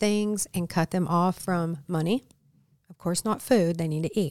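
A woman with an unremarkable speaking voice speaks at a fairly slow pace, with fairly low pitch and fairly even intonation, in a very clean recording with a silent background and a dry, close sound with no echo. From Michigan, Flint. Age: 50s. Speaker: ministry leader in addiction recovery. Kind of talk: podcast interview.

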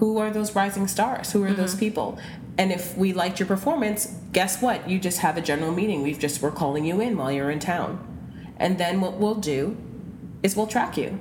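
A woman with an unremarkable speaking voice talks at a moderate pace and a medium pitch, with ordinary pitch variation. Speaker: casting director. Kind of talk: interview.

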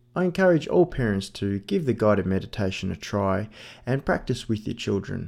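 A man's fairly low voice at a moderate pace, a normal speaking voice, on a very clean recording with a silent background. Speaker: podcast host and parent leading meditation. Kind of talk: guided meditation, body scan and breath focus, spoken to a child. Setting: home recording of a bedtime session with his daughter. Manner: soft-spoken, instructive and reassuring.

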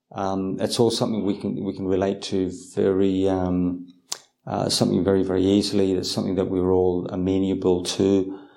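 A man speaks at a moderate pace in a very deep, low voice with a dark, mellow tone, and the room echo is audible. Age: 50s. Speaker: Buddhist monk and meditation teacher. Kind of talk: guided meditation instruction and Q&A. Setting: video call. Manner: halting, many fillers and repetitions.

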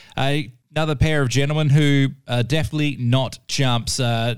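A man with a plain, everyday voice speaks at a moderate pace with ordinary pitch variation, in a very clean recording with a silent background. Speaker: radio host. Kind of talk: radio DJ patter. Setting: radio studio. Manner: laid-back, upbeat.

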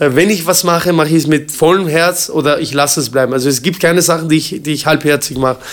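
Very fast and with hardly any pauses, a man speaks at a fairly high pitch with fairly even intonation. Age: 40s. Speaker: kickboxing champion and gym owner. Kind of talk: interview. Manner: hesitant, many fillers.

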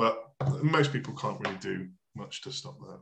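Speaking with a British accent, a man has a fairly high pitch and a bright, sharp tone. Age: 20s. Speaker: bodybuilding coach. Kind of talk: casual chat. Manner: halting.

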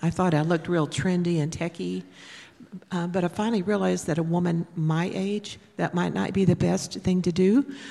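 An unremarkable speaking voice with an American accent at a moderate pace. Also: woman. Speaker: pastor's wife. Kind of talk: testimony and scripture reading. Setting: church.

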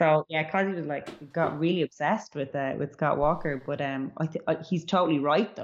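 With a Dublin accent, a woman with a very deep, low pitch speaks at a fairly quick pace, with hardly any pauses and fairly even intonation. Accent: Dublin Irish. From Ireland, Dublin (Artane). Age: 30s. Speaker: musician. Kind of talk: casual music chat.

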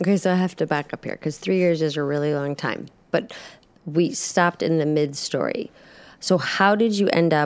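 A woman's voice sits very deep and low in pitch. She moves at a fairly quick pace with ordinary pitch variation. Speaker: podcast host interviewing church members. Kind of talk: casual interview.

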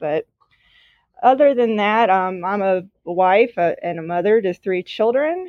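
In a Southern US accent, a woman speaks at a moderate pace with a medium pitch and ordinary pitch variation. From Mississippi. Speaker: newspaper publisher. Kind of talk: podcast interview.

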